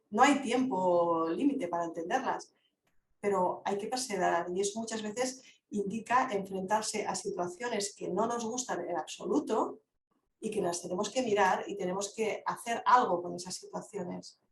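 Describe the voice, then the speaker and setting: Somewhat breathy and pitched in the middle range, a woman talks at a moderate pace with ordinary rise and fall in her voice. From Catalonia, Lleida. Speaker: philosophy speaker. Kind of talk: online Q&A discussion. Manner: halting.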